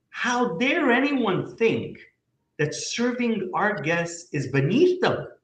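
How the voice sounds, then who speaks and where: Audible room echo surrounds a man who speaks at a very slow pace, his high pitch moving in very wide pitch swings. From Canada. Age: 50s. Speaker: company CEO. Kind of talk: business interview conversation. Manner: animated.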